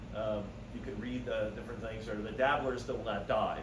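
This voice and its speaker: A man talks fairly quickly amid noticeable background noise and audible room echo. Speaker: birding society volunteer giving a talk. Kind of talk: slide-show talk. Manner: loud. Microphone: no microphone.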